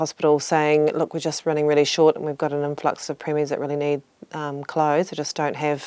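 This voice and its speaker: Fairly quick in tempo, a woman's speech sits at a very deep, low pitch. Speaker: charity foundation CEO. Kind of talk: interview answer.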